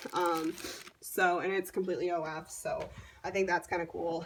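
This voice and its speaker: At a moderate pace, a woman speaks with a medium pitch. There is noticeable background noise. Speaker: model horse collector. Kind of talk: collection tour video. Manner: casual, filler-heavy.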